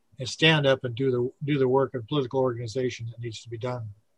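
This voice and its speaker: Somewhat breathy and at a medium pitch, a man speaks with fairly even intonation in a dry, close recording that has no echo. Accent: American. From US Pacific Northwest. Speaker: radio host. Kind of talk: casual chat.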